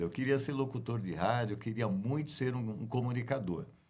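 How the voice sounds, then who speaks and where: Vocal fry runs through a man's medium-pitched voice. The room echo is audible. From Brazil, Guarulhos (São Paulo). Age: 60s. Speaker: radio announcer and journalist. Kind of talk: interview.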